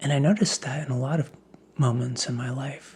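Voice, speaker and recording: A man's fairly high-pitched voice with a calm tone and ordinary pitch variation. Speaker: ASMR creator. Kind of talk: ASMR ramble, encouraging philosophical talk. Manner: slow, calm, reflective.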